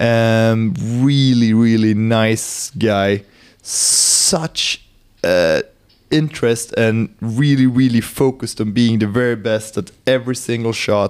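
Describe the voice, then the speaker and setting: A man with a Swedish accent speaks at a medium pitch and a very slow pace, keeping his intonation fairly even. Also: very even loudness. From Sweden. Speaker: hunter and optics sales manager. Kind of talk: casual chat. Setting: company lounge, in person.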